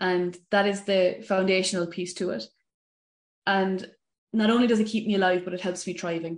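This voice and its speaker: A woman speaks with an Irish accent and fairly even intonation. Her pauses are long and frequent. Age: 30s. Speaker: mental health coach. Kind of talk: interview.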